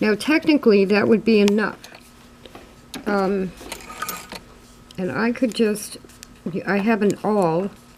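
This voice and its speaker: Amid noticeable background noise, a woman with a medium pitch speaks at a fairly slow pace with ordinary pitch variation and long, frequent pauses. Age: 60s. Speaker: sewing video creator. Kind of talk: tutorial. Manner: hesitant, frequent ums.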